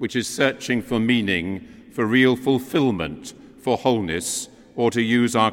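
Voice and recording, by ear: Natural-voiced reading aloud and fairly even intonation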